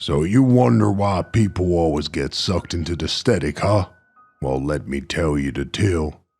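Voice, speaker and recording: A put-on character voice with lively intonation at a moderate pace, over faint background music. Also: man, very deep, low pitch for a man. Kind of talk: horror narration. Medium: read story. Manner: weary, cautious.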